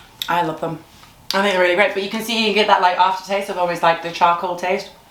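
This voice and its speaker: Talking very fast in a flat monotone, the voice comes through with audible room echo and noticeable background noise. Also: woman, medium pitch for a woman. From Zimbabwe. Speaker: YouTuber. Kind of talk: casual chat, snack tasting.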